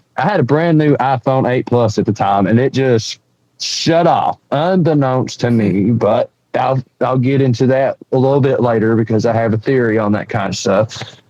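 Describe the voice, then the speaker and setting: In an Appalachian accent, a man talks at a moderate pace and medium pitch, his dark, mellow tone holding very even loudness with ordinary pitch variation. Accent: Southern US (Appalachian). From East Tennessee. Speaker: bigfoot witness and researcher. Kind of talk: storytelling interview. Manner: animated.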